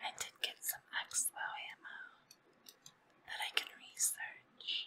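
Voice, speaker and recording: Someone whispers at a fairly slow pace. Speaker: ASMR creator. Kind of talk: ASMR gaming commentary. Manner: whispered.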